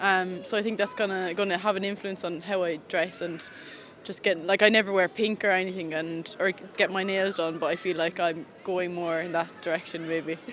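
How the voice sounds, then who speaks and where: In an Irish accent, a woman talks at a moderate pace and a medium pitch with monotone, flat intonation. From Ireland. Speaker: street interviewee. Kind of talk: casual interview.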